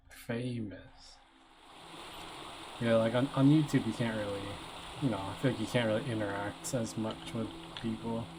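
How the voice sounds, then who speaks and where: Soft-spoken and at a moderate pace, the voice comes through over noticeable background noise. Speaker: game streamer. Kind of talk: live gameplay commentary. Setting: live stream.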